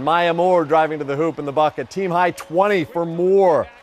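A man's high-pitched voice at a moderate pace, upbeat and energetic in tone. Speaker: sports anchor. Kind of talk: sports news reporting. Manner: upbeat, energetic.

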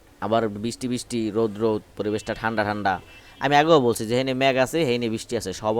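A man with an unremarkable speaking voice, medium in pitch, with ordinary pitch variation. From Barishal, Bangladesh. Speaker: pigeon keeper and video creator. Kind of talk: casual vlog narration. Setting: outdoors.

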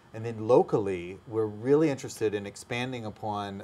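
The speaker is a man. His intonation stays fairly even. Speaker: language school owner. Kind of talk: interview. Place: studio. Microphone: lapel.

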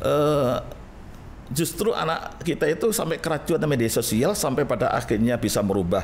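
Light background noise sits behind a man whose pitch swings very widely. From East Java, Indonesia (Gresik); East Java, Indonesia. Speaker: Islamic cleric; guest. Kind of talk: interview. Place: studio. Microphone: studio mic.

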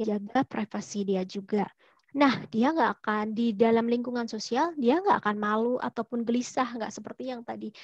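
A woman with a fairly high pitch talks at a moderate pace in a dry sound with no echo against a quiet background. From Solo, Central Java, Indonesia; Central Java, Indonesia. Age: 30s. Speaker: career counselor; webinar host, presenter. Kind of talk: online seminar talk. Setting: video call. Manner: animated. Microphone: earbuds.

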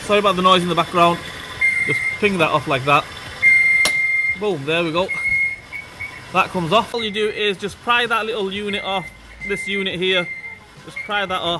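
The speech moves at a moderate pace with long, frequent pauses. Loud background noise runs underneath. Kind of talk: tutorial. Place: garage.

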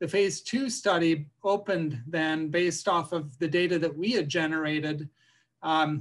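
Against a quiet background, a man has an ordinary speaking voice at a fairly high pitch. He moves at a moderate pace with ordinary pitch variation. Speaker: physician and vaccine researcher. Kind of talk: interview conversation.

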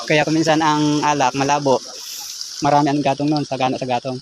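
Through noticeable background noise, a man with a fairly high pitch talks very fast in a monotone, flat intonation. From Philippines, rural nipa wine-making village. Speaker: vlogger showing local wine making. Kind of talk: casual vlog narration.

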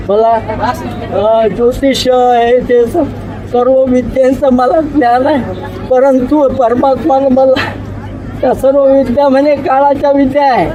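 A man's extremely high-pitched voice with fairly even intonation and very even loudness, crowd noise in the background. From Maharashtra, India. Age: 80s+. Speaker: religious devotee. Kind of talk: interview answer.

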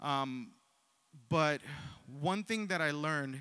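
A man speaks with a bright, sharp tone and ordinary pitch variation, his voice dry with no echo against a quiet background. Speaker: preacher. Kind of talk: sermon. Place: church. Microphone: handheld.

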